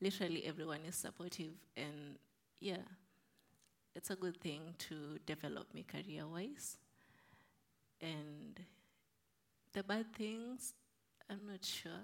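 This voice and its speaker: Speaking at a fairly slow pace with long, frequent pauses, a woman uses vocal fry and ordinary pitch variation. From Kenya. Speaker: nursing student. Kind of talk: panel discussion.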